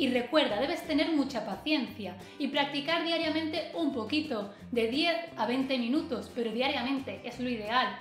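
A woman talks at a moderate pace in a high pitch. Faint music plays in the background, and there is audible room echo. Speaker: dog trainer. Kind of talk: tutorial. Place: home room.

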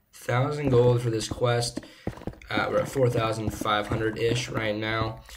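A man's medium-pitched, monotone, flat delivery at a moderate pace, with noticeable background noise. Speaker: gaming YouTuber. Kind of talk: casual gameplay commentary. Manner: slurring words slightly. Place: home room.

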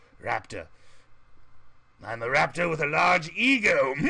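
A man puts on a character voice with a fairly high pitch. He talks at a moderate pace.

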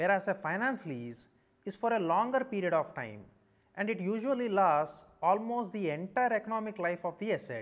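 With an Indian accent, a man speaks at a moderate pace in a high pitch with very wide pitch swings. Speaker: chartered accountancy lecturer. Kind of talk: lecture. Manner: formal. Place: studio. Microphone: lapel.

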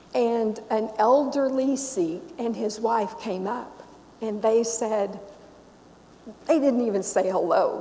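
Against light background noise, a woman with an American accent speaks at a very slow pace with ordinary pitch variation. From US South, Memphis; Tennessee. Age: 60s. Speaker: Sikh minister. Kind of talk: sermon. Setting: church with congregation. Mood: warm, reflective.

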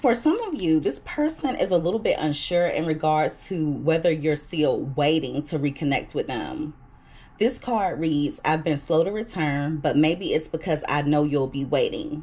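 A woman's voice sits very deep and low in pitch, somewhat breathy, with a dark, mellow tone. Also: ordinary pitch variation, moderate pace. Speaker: tarot reader. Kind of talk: tarot reading commentary. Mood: calm, reassuring. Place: home room.

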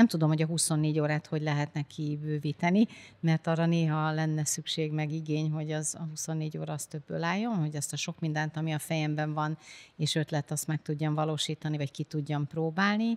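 Very deep and low-pitched, a woman's voice moves at a fairly quick pace with fairly even intonation. The sound is dry and close with no echo, in a very clean recording with a silent background. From Hungary, village near Győr. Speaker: business executive. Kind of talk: interview.

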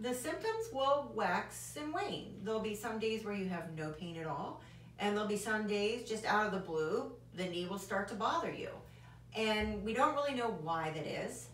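Audible room echo and light background noise surround a woman speaking at a moderate pace. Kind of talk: medical explainer lecture. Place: office. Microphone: camera far.

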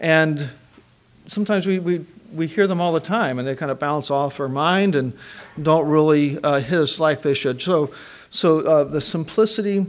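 Male speech, moderately paced, its pitch varying in an ordinary way. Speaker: chapel preacher. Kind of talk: sermon. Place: church.

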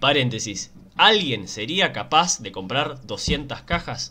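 A man in a Rioplatense accent, animated in tone, with lively intonation and a bright, sharp tone. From Argentina. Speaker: gaming YouTuber. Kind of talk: casual gameplay commentary. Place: home room.

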